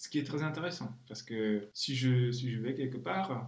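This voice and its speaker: A man speaks at a moderate pace and medium pitch with ordinary pitch variation, with audible room echo and noticeable background noise. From Czech Republic. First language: Czech (speaking French). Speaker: translator. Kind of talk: interview.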